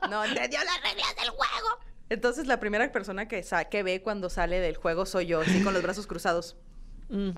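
Noticeable background noise sits behind a woman speaking at a fairly quick pace, her pitch medium with ordinary variation. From Hermosillo, Sonora, northern Mexico. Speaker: comedian. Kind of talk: casual chat.

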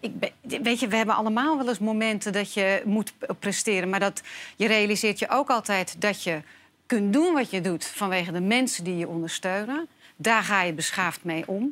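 A woman speaks in a plain, everyday voice. Her pitch is medium, with ordinary variation, at a moderate pace. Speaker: panelist. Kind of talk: casual chat. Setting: studio.

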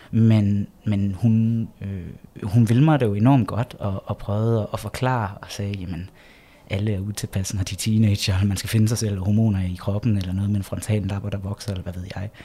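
A man speaks at a moderate pace in a fairly low pitch, his tone dark and mellow, his intonation fairly even, and his voice somewhat breathy. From Jutland, Denmark. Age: 30s. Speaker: LGBT organisation project leader. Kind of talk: interview. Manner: hesitant with frequent fillers.

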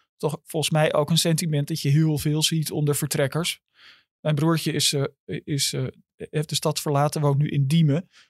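A fairly high-pitched man speaks at a moderate pace, somewhat breathy and with monotone, flat intonation. The sound is dry and close with no echo, on a very clean recording with a silent background. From Amsterdam. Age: 50s. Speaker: journalist. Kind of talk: interview.

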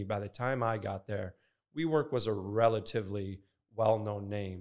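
A man with a plain, everyday voice speaks at a moderate pace and fairly low pitch, with ordinary pitch variation, in a very clean recording with a silent background. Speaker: podcast host; logistics and moving professional. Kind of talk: interview.

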